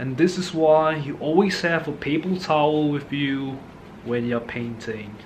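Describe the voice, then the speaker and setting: Fairly high-pitched for a man, his voice moves at a fairly slow pace with ordinary pitch variation, amid noticeable background noise and audible room echo. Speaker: art hobbyist youtuber. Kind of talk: painting tutorial, casual chat. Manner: soft-spoken; relaxed.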